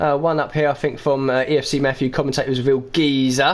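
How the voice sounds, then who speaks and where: Over noticeable background noise, a man with an East London accent talks very fast in a fairly high pitch. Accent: East London, a bit Cockney. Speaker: esports racing commentator. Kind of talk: live commentary.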